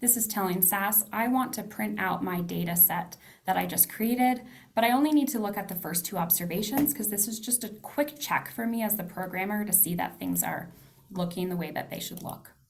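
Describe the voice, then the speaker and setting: A woman at medium pitch, fairly quick pace, and ordinary pitch variation, with audible room echo. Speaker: data analysis instructor. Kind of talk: tutorial. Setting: video call.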